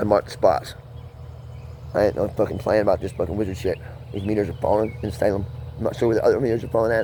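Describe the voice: Fast and fairly low-pitched, a man is talking. His intonation is fairly even and his tone slightly mellow.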